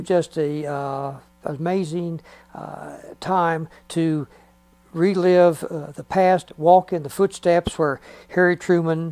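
A man speaks at a very slow pace in a high pitch with flat, monotone intonation, big swings in loudness, and long, frequent pauses. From Missouri, USA. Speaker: Navy veteran. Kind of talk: interview answer. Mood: reflective, proud. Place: home room.

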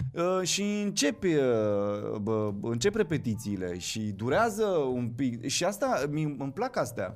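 A man at a very slow pace, hardly any pauses, very wide pitch swings, faint music in the background. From Moldova, Chișinău; Moldova. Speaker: actor. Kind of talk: casual interview chat. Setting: studio. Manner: halting, many fillers. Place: studio. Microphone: studio mic.

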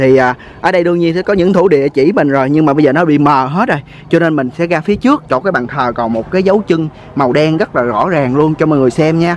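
Light background noise accompanies a man talking at a very fast pace with very even loudness, the sound dry with no echo. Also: fairly high pitch for a man, ordinary pitch variation. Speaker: travel vlogger. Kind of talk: casual vlog narration and interview. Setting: outdoors on location. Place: open country. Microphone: phone near.

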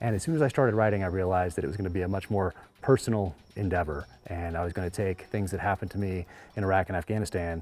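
With ordinary pitch variation, the words come at a very fast pace. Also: man. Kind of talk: interview answer. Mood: reflective, earnest. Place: home room. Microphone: lapel.

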